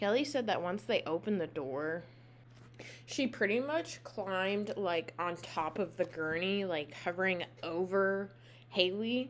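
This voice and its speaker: Here is a plain, everyday voice at a fairly slow pace. The intonation is lively. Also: woman, medium pitch for a woman. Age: 20s. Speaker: podcast host. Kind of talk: true crime storytelling. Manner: casual.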